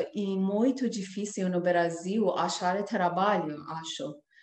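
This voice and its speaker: The speaker is a woman. She talks in a Persian accent. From Iran. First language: Persian (speaking Portuguese). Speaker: singer. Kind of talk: interview. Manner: halting.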